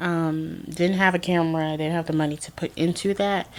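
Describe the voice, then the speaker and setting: Over a very clean recording with a silent background, a woman talks at a moderate pace. Her pitch is fairly low. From US South, Georgia. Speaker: lifestyle vlogger. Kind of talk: casual personal vlog. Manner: casual, hesitant with fillers.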